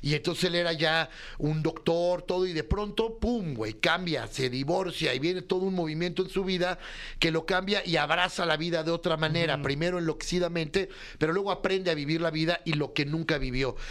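A man speaks at a fairly quick pace in a high pitch with ordinary pitch variation. His loudness stays very even throughout. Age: 40s. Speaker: comedy writer. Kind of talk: casual chat.

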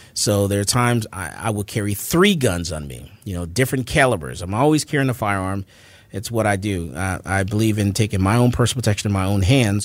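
With an American accent, a man talks at a fairly quick pace in a fairly low pitch with lively intonation and an unremarkable speaking voice. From Florida, Fort Lauderdale. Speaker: gun store owner and firearms instructor. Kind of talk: interview.

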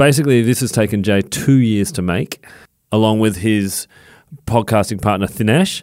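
With an Australian accent, a man speaks at a moderate pace in a fairly low voice with ordinary pitch variation, recorded very cleanly against a silent background. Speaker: podcast co-host. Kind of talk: casual chat. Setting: studio.

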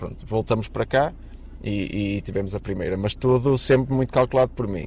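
A man speaks with a fairly low pitch and ordinary pitch variation. His pace is moderate. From Portugal, Matosinhos near Porto. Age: 30s. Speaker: refinery worker. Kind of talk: interview. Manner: halting.

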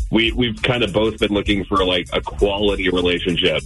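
Music plays in the background as a man speaks at a fairly quick pace. His pitch is fairly low. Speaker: radio call-in show caller. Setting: phone. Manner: casual, uses "like" as frequent filler.

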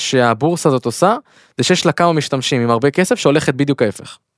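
A man speaks at a medium pitch with ordinary pitch variation. The recording is very clean with a silent background, and the sound is dry and close with no echo. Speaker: podcast co-host. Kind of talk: casual chat. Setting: studio. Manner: fast.

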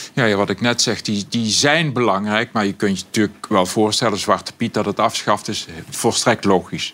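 This man has a fairly low pitch and ordinary pitch variation. He talks at a moderate pace with hardly any pauses. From Brabant, southern Netherlands. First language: Brabant dialect (speaking Dutch). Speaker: language expert. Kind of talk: casual chat.

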